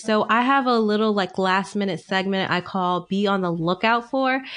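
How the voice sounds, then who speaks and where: Fairly even intonation at a moderate pace, against a quiet background. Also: woman. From Connecticut, US. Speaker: podcast host. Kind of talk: casual interview.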